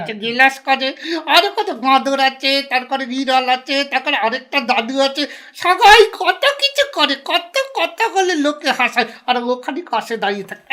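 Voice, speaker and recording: Putting on a character voice, a man talks at a moderate pace in an extremely high pitch. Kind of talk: comic ventriloquist banter.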